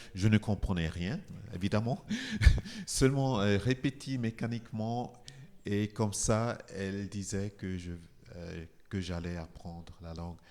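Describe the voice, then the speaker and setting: Fairly low in pitch, a man speaks very slowly with ordinary pitch variation, long, frequent pauses and big swings in loudness. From Nigeria, Igbo. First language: Igbo (speaking French). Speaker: composer. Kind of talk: interview talk. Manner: halting.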